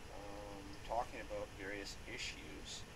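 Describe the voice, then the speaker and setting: Noticeable background noise under a woman's voice. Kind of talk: casual talk to camera. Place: home room. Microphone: webcam.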